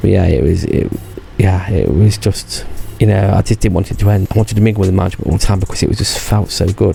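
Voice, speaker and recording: A man talks at a very fast pace in a very deep, low pitch with ordinary pitch variation. Noticeable background noise runs underneath. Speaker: YouTuber recounting past theme park job. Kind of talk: casual vlog monologue. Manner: rambling, hesitant.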